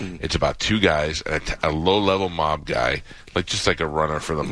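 This man's very deep, low voice has vocal fry and a bright, sharp tone, moving at a fairly quick pace with ordinary pitch variation. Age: 50s. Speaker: radio host. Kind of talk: casual chat. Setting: studio.

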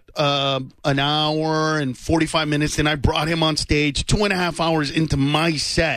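A man speaks with an ordinary speaking voice. His pitch is fairly high and his pace moderate. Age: 30s. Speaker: stand-up comedian. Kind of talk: casual chat. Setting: studio.

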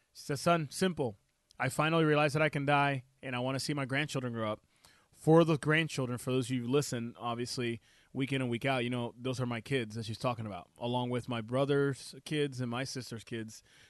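A man's medium-pitched voice with a Puerto Rican accent, fairly quick and fairly even in intonation, over a quiet background. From Puerto Rico. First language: Spanish. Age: 30s. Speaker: chiropractor and radio host. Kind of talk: health talk radio show. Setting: radio studio. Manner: casual, filler-heavy.

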